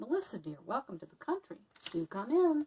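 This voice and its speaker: A woman's high-pitched, put-on character voice, fairly quick, with very wide pitch swings. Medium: read story. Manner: gentle, timid.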